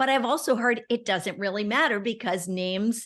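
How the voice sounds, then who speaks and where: A woman's fairly high pitch in an ordinary speaking voice, moderate in pace, with ordinary pitch variation. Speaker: podcast host. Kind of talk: podcast interview.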